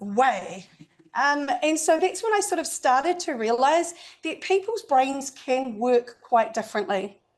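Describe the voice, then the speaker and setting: A woman with a New Zealand accent speaks at a fairly slow pace in a high pitch, her voice moving through very wide pitch swings. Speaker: UX accessibility consultant. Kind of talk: presentation to a meetup audience.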